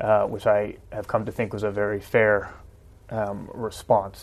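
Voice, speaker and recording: The speaker has a New Jersey accent. The pace is moderate. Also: man. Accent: New Jersey American. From US Northeast, New Jersey. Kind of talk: debate discussion.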